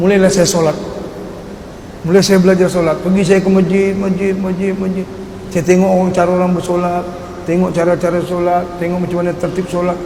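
Over noticeable background noise and audible room echo, a man talks fairly quickly at a high pitch in a flat monotone. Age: 50s. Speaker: dangdut singer. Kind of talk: religious testimony talk.

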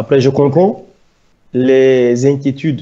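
The background is quiet. A man speaks very slowly. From Gabon. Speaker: former footballer and activist; interview guest. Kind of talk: interview. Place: home room. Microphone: video call.

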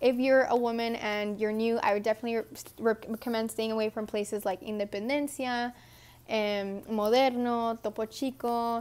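A woman talks at a moderate pace with a fairly high pitch. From Texas. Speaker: vlogger. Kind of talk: casual Q&A vlog. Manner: animated. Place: home room. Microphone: earbuds.

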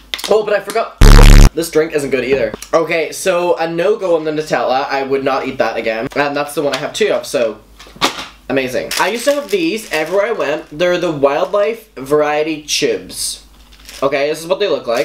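Noticeable background noise fills the recording. The man speaking keeps up a fairly quick pace. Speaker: food tasting vlogger. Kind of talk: casual vlog chat. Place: home room. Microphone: camera far.

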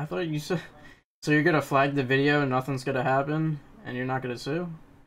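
A normal speaking voice from a man, fairly high in pitch, with fairly even intonation and a fairly quick pace. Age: 20s. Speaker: gaming YouTuber, online troll. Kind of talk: heated argument over game voice chat. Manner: argumentative, rapid back-and-forth.

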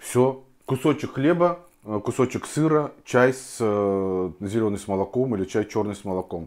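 The man's voice is fairly low, with ordinary pitch variation. The background is quiet. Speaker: home food vlogger. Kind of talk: casual vlog chat. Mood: relaxed, chatty. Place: kitchen. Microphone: lapel.

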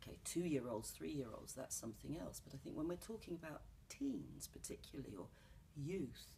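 A woman with a London accent, at a moderate pace, over light background noise. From London, England. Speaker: actress and playwright. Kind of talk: interview answer. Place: studio.

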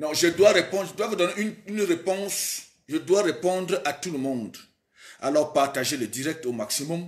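Against a quiet background, a man with a high-pitched voice talks at a moderate pace with lively intonation. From Cameroon. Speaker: political livestreamer. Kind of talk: live stream monologue. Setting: live stream. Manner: animated. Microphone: phone near.

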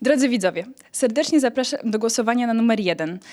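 This recording is very clean, and the background is silent. A woman talks in a high-pitched voice. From Poland, Rzeszów. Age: 20s. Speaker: beauty pageant contestant. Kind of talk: interview; appeal to voters.

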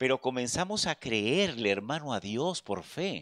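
A man speaking at a fairly slow pace, quiet background. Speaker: preacher. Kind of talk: sermon. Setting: church. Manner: earnest, pastoral, direct appeals to the congregation; repetitive, stumbling starts with filler words. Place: church. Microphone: handheld.

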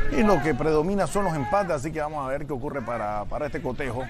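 Noticeable background noise behind a fairly high-pitched male voice. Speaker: co-commentator analyst. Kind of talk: live football commentary. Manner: measured, analytical, sometimes halting.

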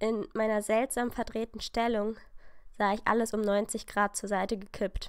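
The reading comes in an unforced voice.

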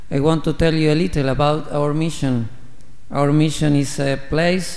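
A man talks with a Spanish accent in a fairly high pitch. His intonation stays monotone and flat. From Argentina. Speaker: missionary priest. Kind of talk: homily. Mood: warm, grateful. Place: church. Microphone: podium.

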